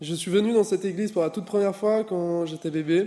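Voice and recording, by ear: A man's dark, mellow voice at a moderate pace, with ordinary pitch variation.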